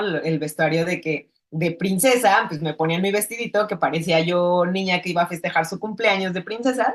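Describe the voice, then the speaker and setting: Here is a woman with a plain, everyday voice, pitched fairly low. Her pace is moderate, and her pitch varies in an ordinary way. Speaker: filmmaker. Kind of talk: interview.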